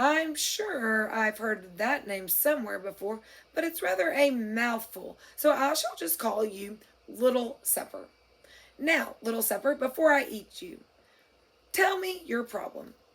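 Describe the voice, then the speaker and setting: A woman's put-on character voice, high-pitched and raspy, at a fairly slow pace. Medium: read story. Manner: pompous, leisurely, condescending.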